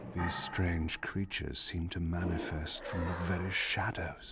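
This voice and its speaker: A man puts on a character voice with a very deep, low pitch and talks at a moderate pace. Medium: video game. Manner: dry, measured.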